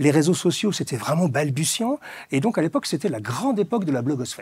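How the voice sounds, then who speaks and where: A dark, mellow tone with very wide pitch swings at a fairly quick pace, in a dry, close sound with no echo. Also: man. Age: 60s. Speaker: author and fashion commentator. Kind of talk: interview.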